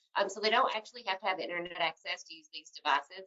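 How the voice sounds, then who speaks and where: A woman's medium-pitched voice with a Tennessee accent and ordinary pitch variation. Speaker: healthcare tech company representative. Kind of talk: webinar Q&A answers. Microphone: cutting out.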